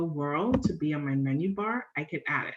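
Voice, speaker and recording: A woman with an unremarkable speaking voice, lively intonation and a moderate pace. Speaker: personal finance blogger. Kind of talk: live tutorial. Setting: live stream screen share.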